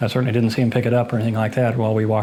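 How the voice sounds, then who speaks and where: There is noticeable background noise behind this man. He speaks at a medium pitch with monotone, flat intonation. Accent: American. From Ohio, USA. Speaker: eyewitness to a reported haunting. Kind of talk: interview answer.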